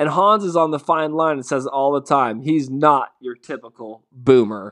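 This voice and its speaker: A man's animated tone at a fairly slow pace over a quiet background. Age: 30s. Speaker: podcast host. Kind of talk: solo podcast monologue.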